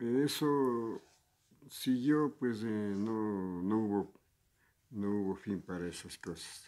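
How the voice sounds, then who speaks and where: At a very slow pace, a man talks with a fairly low pitch, a dark, mellow tone and ordinary pitch variation. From Ecuador. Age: 70s. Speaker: retired public servant. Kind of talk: interview. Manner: halting, hesitant with fillers.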